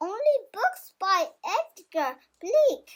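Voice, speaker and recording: A woman's squeaky, put-on character voice at extremely high pitch, with very wide pitch swings. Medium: read story.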